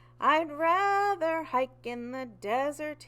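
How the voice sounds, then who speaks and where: A woman uses a put-on character voice, squeaky and high-pitched. She speaks very slowly in a raised, projected voice. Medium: read story.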